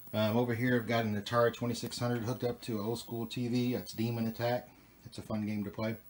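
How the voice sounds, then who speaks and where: Over light background noise, a man speaks at a very fast pace in a monotone, flat intonation. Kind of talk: casual vlog chat. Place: home room. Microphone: phone near.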